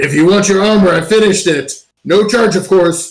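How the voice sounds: Someone performs a put-on character voice at a moderate pace, keeping the loudness very even. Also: man, high pitch for a man.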